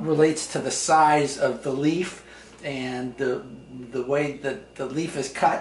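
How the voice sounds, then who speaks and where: A man at a very slow pace with ordinary pitch variation, audible room echo and light background noise. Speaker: tea enthusiast host. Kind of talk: casual explanation to visitor. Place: kitchen.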